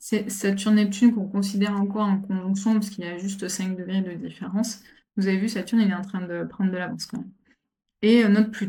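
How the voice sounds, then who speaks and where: A woman talks very fast in a somewhat breathy voice at a medium pitch. Her intonation is monotone and flat. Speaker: astrologer. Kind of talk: astrology forecast talk. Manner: halting, many repetitions and fillers.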